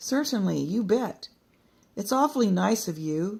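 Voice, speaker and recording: A female-sounding, put-on character voice speaks at a moderate pace with a fairly high pitch. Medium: read story.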